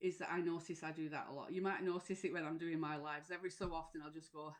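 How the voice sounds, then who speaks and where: Speaking at a very fast pace with a Lancashire accent, a woman has a fairly low pitch and monotone, flat intonation. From northern England, Lancashire. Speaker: mental health support coach. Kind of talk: live stream talk. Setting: live stream. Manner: hesitant, many fillers.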